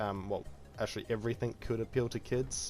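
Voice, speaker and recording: A man speaks in a calm tone. Music plays in the background. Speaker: gaming youtuber. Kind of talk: gameplay commentary. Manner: calm, low-key. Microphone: quiet voice level.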